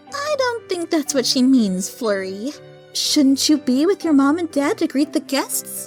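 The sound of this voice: A female-sounding voice performs a put-on character voice at a high pitch while clear music plays in the background. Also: moderate pace.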